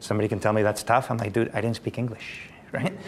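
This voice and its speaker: Speaking with a Spanish accent, a man with a medium pitch is heard over noticeable background noise. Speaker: company founder. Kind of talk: panel discussion.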